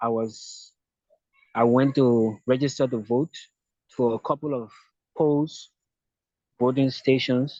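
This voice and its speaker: Speaking at a very slow pace, a man with a Liberian accent keeps his intonation fairly even. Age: 20s. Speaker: activist. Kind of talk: interview.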